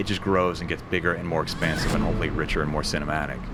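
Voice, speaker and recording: A man's very deep, low voice comes through noticeable background noise. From Portland, Oregon. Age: 40s. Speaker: animation studio CEO and film director. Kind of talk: interview answer.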